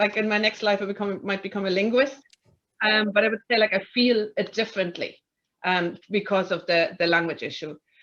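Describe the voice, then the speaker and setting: A fairly high-pitched woman's voice at a fairly quick pace, with ordinary pitch variation. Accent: German. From Germany. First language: German. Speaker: tribunal chair. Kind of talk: panel discussion. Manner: halting, many fillers.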